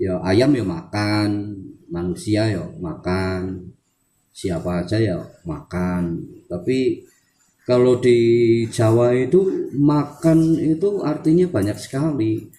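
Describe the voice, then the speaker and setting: Speaking at a very slow pace, a man uses a dark, mellow tone at medium pitch with very wide pitch swings. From Central Java, Wonosobo. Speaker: language teacher, channel owner. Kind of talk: tutorial. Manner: halting.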